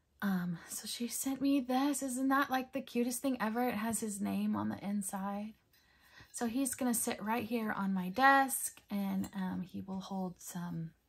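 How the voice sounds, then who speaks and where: The pace is fairly slow. A woman talks in a somewhat breathy voice. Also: ordinary pitch variation. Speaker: coloring hobby creator. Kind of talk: casual haul vlog chat. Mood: cheerful, enthusiastic. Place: home room.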